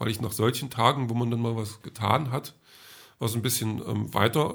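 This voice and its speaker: A man speaks at a fairly slow pace and medium pitch, with vocal fry. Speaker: podcaster. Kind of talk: casual monologue diary. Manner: hesitant, many filler sounds.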